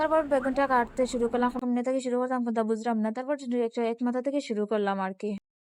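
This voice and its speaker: Her voice sits high, and the woman keeps her intonation fairly even. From Bangladesh; Sylhet region, Bangladesh. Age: young. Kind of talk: casual vlog voiceover narration.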